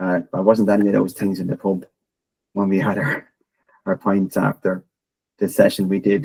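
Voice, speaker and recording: This man has a fairly low pitch and a dark, mellow tone. He speaks at a moderate pace, and the sound is dry and close with no echo. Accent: Irish. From Ireland. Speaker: technology consultant and podcaster. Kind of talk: presentation.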